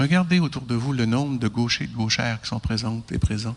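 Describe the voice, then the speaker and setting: A man with a Quebec accent, medium pitch, ordinary pitch variation and a moderate pace. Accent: Québécois French. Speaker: chiropractor and lecturer. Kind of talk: lecture to an audience.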